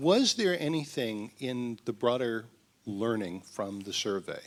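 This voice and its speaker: A man speaks very slowly, his medium pitch showing ordinary variation. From London (Finchley). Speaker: audience member, business employee. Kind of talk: audience question. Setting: event with live audience.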